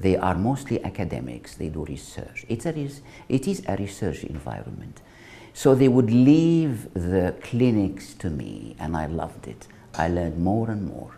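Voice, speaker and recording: Vocal fry runs through a man's speech, delivered at a moderate pace with very wide pitch swings and big swings in loudness. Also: fairly low pitch for a man. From Egypt, Alexandria. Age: 70s. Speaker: retired physician. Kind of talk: personal life story interview.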